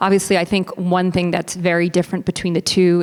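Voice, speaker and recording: A woman with an ordinary speaking voice and an American accent talks at a moderate pace, her pitch fairly low for a woman. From United States. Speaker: business executive panelist. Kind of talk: panel discussion.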